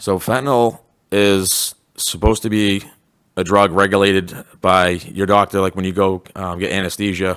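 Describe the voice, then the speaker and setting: The recording is very clean with a silent background. Intonation stays fairly even throughout. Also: man, fairly low pitch for a man. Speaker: school resource officer. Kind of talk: panel presentation. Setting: school hall with audience. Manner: fast.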